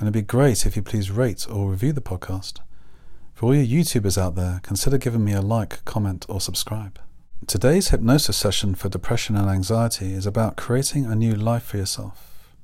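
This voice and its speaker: At a fairly quick pace, the speech sounds somewhat breathy. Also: man, fairly low pitch for a man, ordinary pitch variation. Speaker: hypnotherapist and counsellor podcast host. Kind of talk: guided meditation. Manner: gentle, reflective, posing questions.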